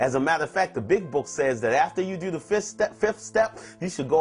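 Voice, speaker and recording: With music playing behind him, a man rattles off his words at a very fast pace. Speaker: twelve-step recovery speaker. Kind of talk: talk on a recovery step.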